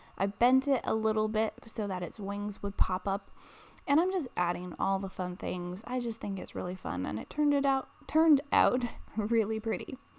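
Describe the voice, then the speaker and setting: At a moderate pace, a woman speaks in a fairly high voice with lively intonation. Noticeable background noise can be heard. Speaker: papercraft video creator. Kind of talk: tutorial voice-over narration. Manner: casual, with many fillers.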